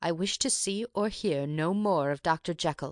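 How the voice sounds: Against a quiet background, a put-on character voice at middle pitch moves at a moderate pace.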